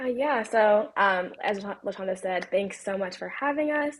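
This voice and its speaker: Here a woman with an American accent uses a normal speaking voice at medium pitch. She talks at a moderate pace with ordinary pitch variation. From Long Island, New York. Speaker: research associate. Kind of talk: podcast interview.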